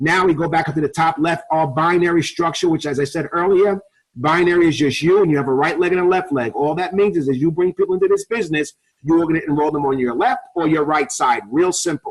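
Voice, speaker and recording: In a New York accent, a man talks at a very fast pace with a high pitch. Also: ordinary pitch variation. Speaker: network marketing presenter, ex-police officer. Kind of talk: sales pitch. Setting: webinar call.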